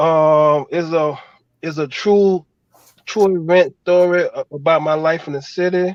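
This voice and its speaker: Fairly slow speech from a man in a New Orleans accent, fairly high in pitch with fairly even intonation, in a dry, close sound with no echo. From New Orleans, Fifth Ward. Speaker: screenwriter. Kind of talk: casual chat.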